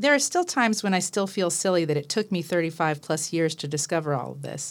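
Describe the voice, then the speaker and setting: A woman talks with a fairly low pitch and ordinary pitch variation in a normal speaking voice. The recording is very clean, with a silent background. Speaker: university professor and book co-editor. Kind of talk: radio interview.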